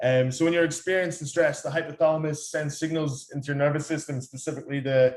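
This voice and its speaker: In an Irish accent, a man speaks at a fairly quick pace with fairly even intonation. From Ireland. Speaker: fitness coach. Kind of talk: lecture. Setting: talk to company staff. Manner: hesitant, many fillers.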